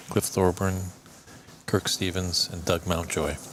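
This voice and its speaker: In a Canadian accent, a man with a very deep, low pitch talks at a moderate pace with monotone, flat intonation. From Canada, Ontario. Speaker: snooker commentator. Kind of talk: casual chat. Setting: commentary booth.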